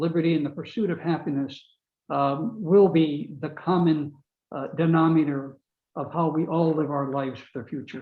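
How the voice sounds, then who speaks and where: Speaking with a Maine accent, a man keeps a moderate pace. His pitch is fairly high and his intonation fairly even. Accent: Maine Yankee. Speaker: author and webinar speaker. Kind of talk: closing remarks at a webinar.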